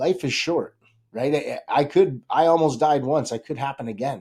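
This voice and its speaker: A man's fairly high voice at a moderate pace, with ordinary pitch variation, on a very clean recording with a silent background. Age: 40s. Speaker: realtor. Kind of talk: casual chat. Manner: animated.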